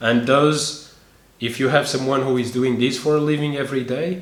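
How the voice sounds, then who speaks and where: A man's moderate-paced speech comes through audible room echo and noticeable background noise. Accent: Portuguese. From Portugal. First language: Portuguese. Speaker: YouTuber, expat life vlogger. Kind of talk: tutorial. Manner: casual with frequent hesitations.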